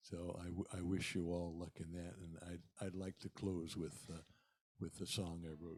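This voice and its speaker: A man's very deep, low voice, monotone and flat, in an American accent at a moderate pace. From eastern Pennsylvania. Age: 70s. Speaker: musician. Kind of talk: talk to a church congregation. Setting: church service. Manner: halting.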